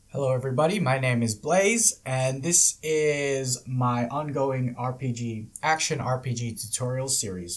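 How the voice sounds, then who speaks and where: At a fairly slow pace, a man with a medium pitch and a somewhat breathy voice speaks with ordinary pitch variation. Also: hardly any pauses. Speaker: game development tutorial creator. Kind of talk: tutorial.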